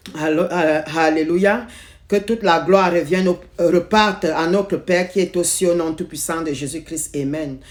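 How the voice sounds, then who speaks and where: Intonation in this clip remains fairly even. The delivery is fairly slow. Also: woman, fairly low pitch for a woman. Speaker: lay preacher. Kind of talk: sermon. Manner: halting, with repetitions.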